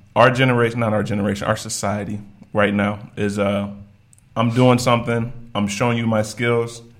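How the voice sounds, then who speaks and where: A man with an American accent, monotone, flat intonation, and audible room echo. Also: medium pitch for a man, moderate pace. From Virginia, US. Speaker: podcast co-host. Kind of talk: casual chat.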